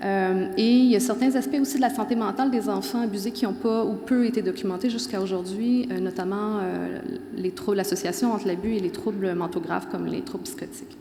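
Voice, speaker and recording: Lively intonation in a Quebec accent at a fairly quick pace, with audible room echo and noticeable background noise. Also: woman, medium pitch for a woman. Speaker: professor. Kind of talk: conference talk. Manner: fast.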